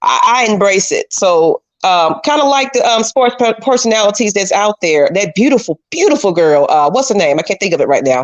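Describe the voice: A woman's voice with very wide pitch swings and very even loudness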